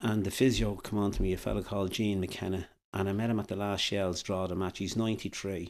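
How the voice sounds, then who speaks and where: Very fast and monotone, with flat intonation, a man speaks in a Dublin accent at a fairly low pitch. The recording is very clean, with a silent background. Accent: Irish (Dublin). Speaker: former football manager. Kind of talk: podcast interview. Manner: halting.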